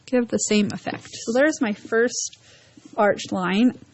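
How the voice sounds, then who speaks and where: At a fairly slow pace, the speaker shows ordinary pitch variation over noticeable background noise. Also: woman. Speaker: art teacher. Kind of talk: tutorial. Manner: halting.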